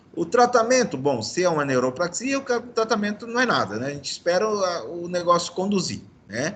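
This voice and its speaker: A man's high-pitched voice at a fairly quick pace, with very wide pitch swings, hardly any pauses and noticeable background noise. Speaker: medical lecturer (orthopedics). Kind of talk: lecture. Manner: fast.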